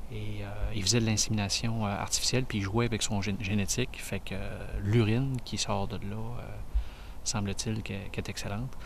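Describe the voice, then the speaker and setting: Audible room echo surrounds a man speaking with a Quebec accent. He keeps a moderate pace. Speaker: hunter and video maker. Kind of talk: casual vlog and interview. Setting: outdoors in snowy woods. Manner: hesitant, many fillers; loud.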